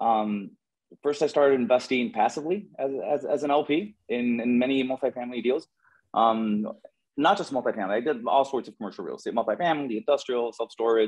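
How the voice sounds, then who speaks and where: A man's medium-pitched voice at a fairly quick pace, with ordinary pitch variation and music in the background. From Nicaragua. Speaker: real estate investor. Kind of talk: interview. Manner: halting, many repetitions.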